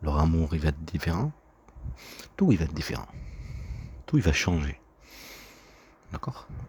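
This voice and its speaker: A man speaks in a very deep, low voice with vocal fry, ordinary pitch variation, and long, frequent pauses. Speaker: vlogger. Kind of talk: personal monologue. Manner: fast; halting.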